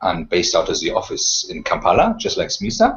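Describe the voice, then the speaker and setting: Music behind a man talking at a moderate speed. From Germany, with childhood years in France; born in England. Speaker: nonprofit fellow, strategy professional. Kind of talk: self-introduction in a webinar.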